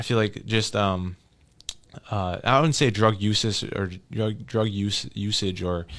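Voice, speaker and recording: A man speaks at a fairly slow pace with an American accent, his fairly low pitch carried on fairly even intonation. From Minneapolis, Minnesota. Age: 20s. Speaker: community member. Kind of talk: podcast interview. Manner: halting.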